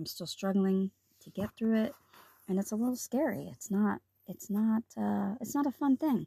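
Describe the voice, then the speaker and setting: A woman speaks at a moderate pace with lively intonation and big swings in loudness. Her tone is dark and mellow, somewhat breathy, with a dry, close sound and no echo. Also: medium pitch for a woman. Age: 50s. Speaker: podcast host. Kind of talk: solo health podcast monologue.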